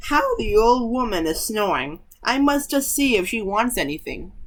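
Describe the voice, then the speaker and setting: A woman puts on a character voice, fairly high in pitch. She keeps a moderate pace. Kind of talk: archaic speech. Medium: read story.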